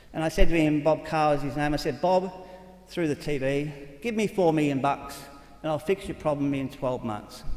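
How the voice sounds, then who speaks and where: With an Australian accent, a man talks using ordinary pitch variation. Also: fairly high pitch for a man. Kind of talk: conference talk. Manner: fast; animated.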